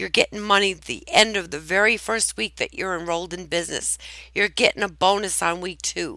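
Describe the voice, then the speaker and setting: A woman's bright, sharp voice at medium pitch with vocal fry and a moderate pace, on a very clean recording with a silent background. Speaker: network marketing presenter and church founder. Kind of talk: tutorial. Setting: at home. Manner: casual, conversational.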